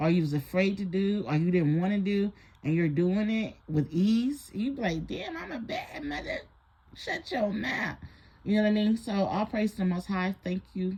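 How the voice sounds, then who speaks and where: A woman's medium-pitched, somewhat breathy voice in a dark, mellow tone, at a moderate pace with lively intonation. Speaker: spiritual advisor and reader. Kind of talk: casual rant. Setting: lying in bed at home. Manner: relaxed, lying down; animated.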